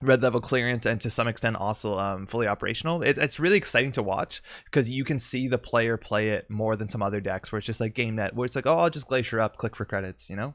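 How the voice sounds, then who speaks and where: A man talking at a very fast pace with hardly any pauses, on a very clean recording with a silent background. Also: medium pitch for a man, ordinary pitch variation. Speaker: card game tournament commentator. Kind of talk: live stream commentary and chat reading. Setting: live stream. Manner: animated.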